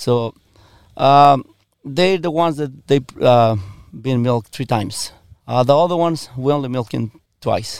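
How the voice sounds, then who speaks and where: Speaking at a moderate pace with ordinary pitch variation, a man with a medium-pitched voice leaves long, frequent pauses. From Mexico, Michoacan. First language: Spanish. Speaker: dairy farmer. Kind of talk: interview. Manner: halting, many repetitions and fillers.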